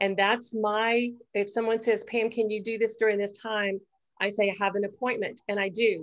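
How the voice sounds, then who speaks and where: A woman has an unremarkable speaking voice with an American accent and a fairly high pitch. Her intonation is fairly even against a quiet background. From Texas. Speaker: network marketing team leader. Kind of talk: mastermind group call presentation.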